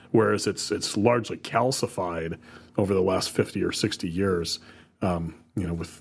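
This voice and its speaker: On a very clean recording with a silent background, a man with a Midwestern US accent speaks at a fairly low pitch with fairly even intonation. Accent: US Midwest. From Ohio, Toledo area. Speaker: podcast co-host. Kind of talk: casual chat.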